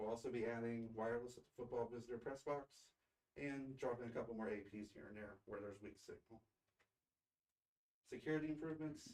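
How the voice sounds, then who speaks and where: A man at medium pitch and a fairly quick pace, with ordinary pitch variation and long, frequent pauses. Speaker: school district technology director. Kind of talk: presentation report at board meeting. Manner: fast.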